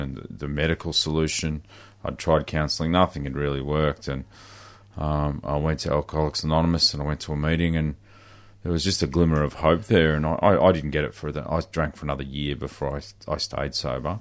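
The speaker has an Australian accent, talks at a fairly quick pace, and keeps the intonation fairly even. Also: man, very deep, low pitch for a man. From country Victoria, Australia. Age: 40s. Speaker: recovering alcoholic. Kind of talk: personal testimony. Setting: radio studio.

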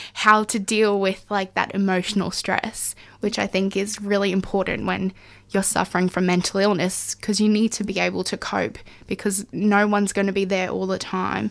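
Flat, monotone delivery at a moderate pace with an Australian accent. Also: woman, medium pitch for a woman. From Far North Queensland, Australia. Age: 20s. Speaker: community radio presenter. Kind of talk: personal testimony interview. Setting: radio studio.

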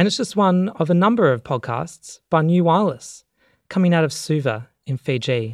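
Recorded very cleanly against a silent background, a man with an ordinary speaking voice and a fairly high pitch speaks at a moderate pace. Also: lively intonation. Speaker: radio host. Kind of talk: radio show presentation.

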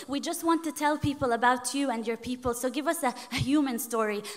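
Noticeable background noise sits behind a woman whose high-pitched voice keeps a fairly even intonation. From Palestinian. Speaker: spoken word poet and academic. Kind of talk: interview; poetry performance. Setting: remote call.

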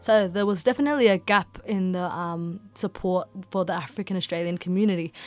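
A woman talks at a fairly quick pace in a plain, everyday voice of medium pitch with ordinary pitch variation. The recording is very clean, with a silent background. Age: 20s. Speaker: school social support worker. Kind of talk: radio interview.

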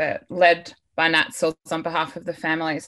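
Her pace is fairly slow and her pitch fairly low. The woman speaks in an Australian accent. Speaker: activist and academic researcher. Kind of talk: panel discussion on radio. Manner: hesitant, many fillers.

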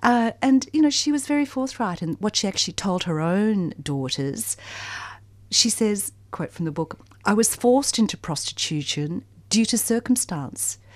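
Very wide pitch swings in an Australian accent at a moderate pace. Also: woman, medium pitch for a woman, very clean recording, silent background. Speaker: community radio book show co-host. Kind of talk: radio interview. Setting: studio. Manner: animated.

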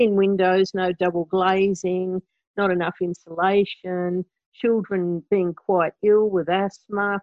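With an Australian accent, a woman speaks at a medium pitch. Her pace is very slow. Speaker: community radio host. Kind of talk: interview.

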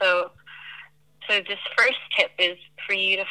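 A woman speaks at a fairly slow pace in a medium pitch, her tone bright and sharp and her intonation fairly even. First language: not English. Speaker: herbalist and community organizer. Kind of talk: interview. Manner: hesitant, many fillers.

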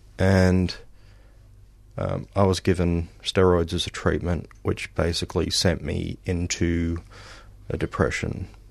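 The speaker has an Australian accent and talks at a fairly slow pace, with monotone, flat intonation and long, frequent pauses. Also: man, very deep, low pitch for a man. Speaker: musician. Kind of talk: radio interview. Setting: studio.

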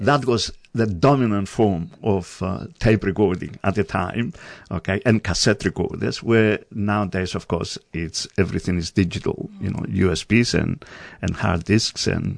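Against a quiet background, a man with a Greek accent speaks with ordinary pitch variation. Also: fairly low pitch for a man, fairly slow pace. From Greece, island of Rhodes. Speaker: community radio coordinator. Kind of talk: interview. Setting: studio.

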